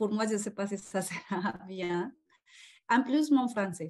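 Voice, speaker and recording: With a Spanish accent, a woman speaks at a very slow pace in a medium pitch. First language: Spanish (speaking French). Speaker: call participant. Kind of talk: casual group call. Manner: halting.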